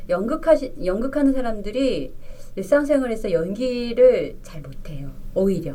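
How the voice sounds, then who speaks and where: A woman's fairly high, theatrical voice at a fairly slow pace, with very wide pitch swings and audible room echo. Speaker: stage actor and YouTuber. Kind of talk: interview. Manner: theatrical-sounding tone.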